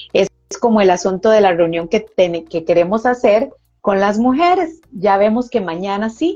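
A woman speaks at a moderate pace in a dark, mellow tone. Her pitch sits in the middle range, and her intonation is lively. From Costa Rica. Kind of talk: testimony.

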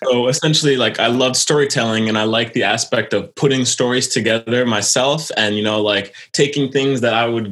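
With an American accent, a man of medium pitch speaks at a fairly quick pace in fairly even intonation. It is an unremarkable speaking voice. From Quebec, Canada, raised mainly in the US. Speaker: illustrator. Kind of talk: interview.

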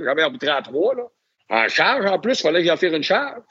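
The speaker talks at a very fast pace. Their pitch swings very widely. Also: man. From Quebec, Lac-Saint-Jean (Albanel). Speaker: NHL hockey referee. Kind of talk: interview storytelling.

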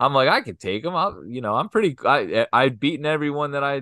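Here a man talks with an American accent. His pace is fairly quick. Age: 40s. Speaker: podcast co-host. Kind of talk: casual chat.

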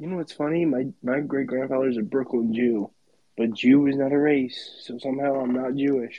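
At a moderate pace, a man with an unremarkable speaking voice keeps a medium pitch and fairly even intonation. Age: 30s. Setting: video call late at night.

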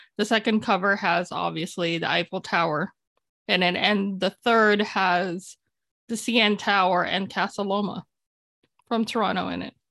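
A woman's normal speaking voice at a medium pitch, with fairly even intonation and a dry, close sound with no echo. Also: moderate pace. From Philippines, raised in Canada. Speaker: novelist. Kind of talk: casual interview.

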